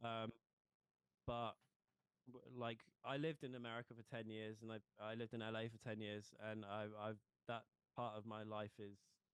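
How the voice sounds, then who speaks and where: With a British accent, a man speaks at a medium pitch and a moderate pace in a monotone, flat intonation. He takes long, frequent pauses. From England. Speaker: pop punk band member. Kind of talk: casual interview.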